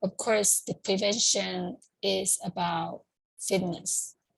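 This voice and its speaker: A woman's medium-pitched voice with vocal fry, ordinary pitch variation and a Chinese accent. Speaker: community group organizer. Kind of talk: informal talk. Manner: halting, with many fillers.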